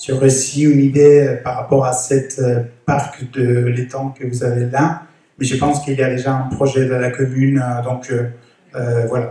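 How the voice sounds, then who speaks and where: At a fairly slow pace, a man with a non-native accent speaks at a medium pitch with monotone, flat intonation. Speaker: resident speaking at neighbourhood assembly. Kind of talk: public meeting remarks. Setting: neighbourhood centre assembly. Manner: halting, many hesitations.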